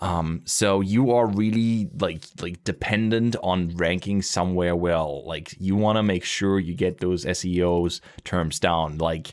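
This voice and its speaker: On a very clean recording with a silent background, a man with a German accent speaks at a fairly slow pace with hardly any pauses, in a very deep, low voice with ordinary pitch variation. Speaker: gaming YouTuber. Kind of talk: casual podcast discussion.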